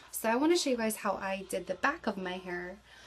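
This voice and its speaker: A woman speaks at a fairly quick pace with noticeable background noise behind her. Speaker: beauty vlogger. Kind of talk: tutorial. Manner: fast; casual.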